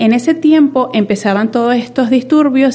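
This woman has an unremarkable speaking voice, with ordinary pitch variation, and talks rather slowly. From Venezuela. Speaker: data and innovation professional. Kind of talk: interview conversation.

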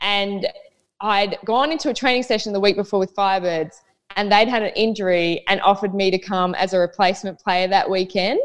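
A woman speaks at a medium pitch with an Australian accent. Her pace is fairly quick, and her pitch varies in an ordinary way. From Queensland, Australia. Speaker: professional netball player. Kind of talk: casual chat.

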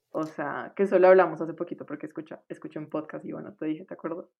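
A woman with a fairly low pitch. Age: 20s. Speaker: medical student. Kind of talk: casual chat.

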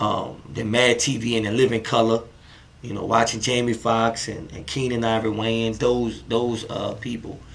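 Over noticeable background noise, a man with a medium pitch talks at a moderate pace in a New Orleans accent, his intonation monotone and flat. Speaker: comedian and filmmaker. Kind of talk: casual interview chat. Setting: in-person studio.

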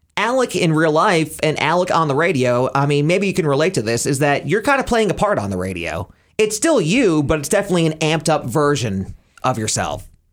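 This man, with an American accent, talks at a fairly quick pace. His fairly high pitch makes very wide swings. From Pennsylvania. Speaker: radio host. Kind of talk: casual chat.

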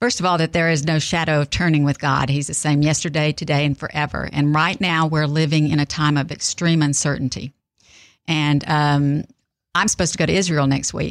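A woman's very deep, low voice in a Texan accent, at a fairly quick pace with very even loudness and fairly even intonation, on a very clean recording with a silent background. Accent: Texan Southern US. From South Texas. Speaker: author and speaker. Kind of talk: faith interview.

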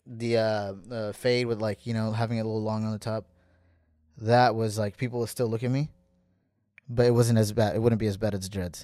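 Delivered at a fairly quick pace in an American accent, the voice has a dark, mellow tone and a monotone, flat intonation. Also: man, medium pitch for a man. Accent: American, noticed in Somalia when speaking. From US West Coast, San Diego, California. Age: 20s. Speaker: Somali-American traveller, podcast guest. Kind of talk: casual chat.

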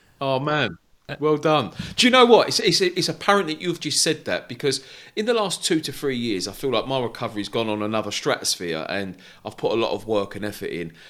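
Using vocal fry and very wide pitch swings, a man speaks fairly quickly at a medium pitch. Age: 40s. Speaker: podcast host. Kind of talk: casual interview chat. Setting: video call.

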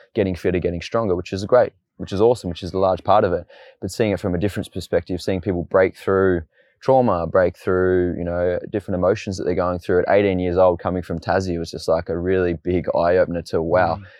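A man speaks very fast in an Australian accent. His voice is very deep and low, with monotone, flat intonation. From Tasmania, Australia (Launceston). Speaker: fitness and boxing coach. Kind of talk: casual interview. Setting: outdoors in a park.

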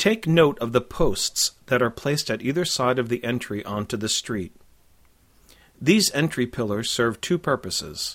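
This man has a normal speaking voice, pitched in the middle range, with lively intonation and a moderate pace. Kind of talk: scripted audio walking-tour narration, directing listeners street by street. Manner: clear, measured, formal, guide-like and informative.

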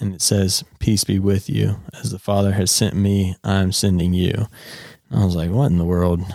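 Speaking with a North Carolina accent, a man has a dark, mellow tone and fairly even intonation at a moderate pace. The recording is very clean, with a silent background. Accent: US Southern (North Carolina). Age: 20s. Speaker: podcast host, apparel company owner. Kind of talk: casual chat, faith testimony.

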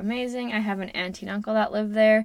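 A woman with a Western Canadian accent speaks at a fairly high pitch in a very clean recording with a silent background. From Canada, Alberta-Saskatchewan border. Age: 20s. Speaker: podcast host, self-development coach. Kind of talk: casual monologue.

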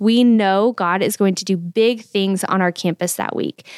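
A woman with a plain, everyday voice talks at a moderate pace and medium pitch, with ordinary pitch variation on a very clean recording with a silent background. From Texas. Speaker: podcast host and church staff. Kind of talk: casual interview.

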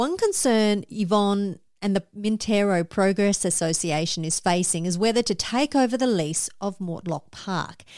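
With an Australian accent, a woman speaks at medium pitch with hardly any pauses. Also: ordinary pitch variation, moderate pace, very clean recording, silent background. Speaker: podcast host. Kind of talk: scripted podcast hosting and interview.

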